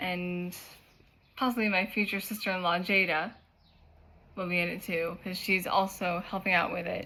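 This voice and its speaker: A woman speaks at a fairly slow pace with a fairly low pitch and a bright, sharp tone. Her intonation is monotone and flat. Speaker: YouTuber and cosplayer. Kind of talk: casual vlog chat.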